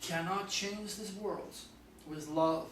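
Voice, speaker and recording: A man speaks at a fairly slow pace with ordinary pitch variation, with audible room echo and noticeable background noise. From France. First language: French. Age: 60s. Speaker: astrologer. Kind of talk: video monologue. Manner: animated.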